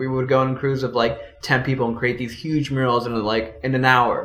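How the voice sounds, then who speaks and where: Through audible room echo and noticeable background noise, a man with an American accent speaks at a medium pitch. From Los Angeles, US (born El Salvador). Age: 20s. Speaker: street artist. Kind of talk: casual interview chat.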